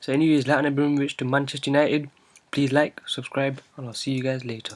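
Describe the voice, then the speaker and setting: Moving along at a fairly quick pace, the speaking is quiet. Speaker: football fan vlogger. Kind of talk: casual vlog, reading out transfer news. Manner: speaking quietly.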